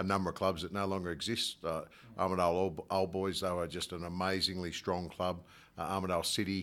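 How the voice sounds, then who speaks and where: A man speaks in a very deep, low voice with monotone, flat intonation. The recording is very clean, with a silent background. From Australia, north coast of New South Wales. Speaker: rugby club president. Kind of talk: casual interview.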